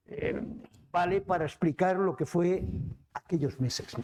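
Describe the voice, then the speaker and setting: A man with a high voice talks at a moderate speed, his pitch moving in the usual way. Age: 70s. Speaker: book presenter. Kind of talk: book presentation dialogue. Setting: cultural centre event with audience.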